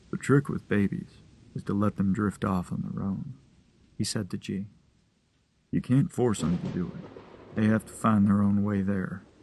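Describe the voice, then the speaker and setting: A man puts on a rumbling character voice with a warm tone and fairly low pitch. He talks at a moderate pace, with long pauses coming often. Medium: read story. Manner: warm, unhurried, folksy.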